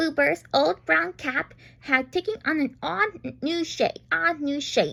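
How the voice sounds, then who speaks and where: This woman has a high-pitched voice with very wide pitch swings. She speaks at a fairly slow pace. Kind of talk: bedtime story. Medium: read story. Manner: halting, self-correcting.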